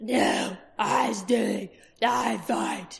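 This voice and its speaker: A put-on character voice growls at a middle pitch. It sounds raspy. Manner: snarling, defiant.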